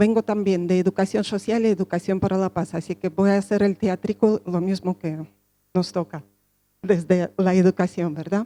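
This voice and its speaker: At a moderate pace, a woman with a medium pitch and a dark, mellow tone speaks in a monotone, flat intonation, the sound dry and close with no echo. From Russia (Soviet Union). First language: Russian (speaking Spanish). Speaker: social educator, speaker. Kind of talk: conference talk.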